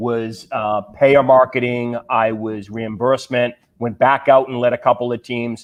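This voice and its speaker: A man's medium-pitched voice in a Massachusetts accent, at a moderate pace with fairly even intonation. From Massachusetts, US. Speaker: pharma sales executive. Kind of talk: panel discussion.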